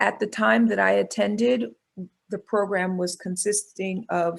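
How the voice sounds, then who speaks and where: A woman with a New York accent speaks at a fairly slow pace. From New York City, Bronx. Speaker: pediatrician and medical school dean. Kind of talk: webinar talk. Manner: halting.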